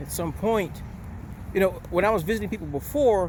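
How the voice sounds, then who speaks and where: A man is speaking. Room echo can be heard. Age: 60s. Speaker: retired police officer and vlogger. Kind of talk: casual vlog monologue. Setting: outdoors, walking.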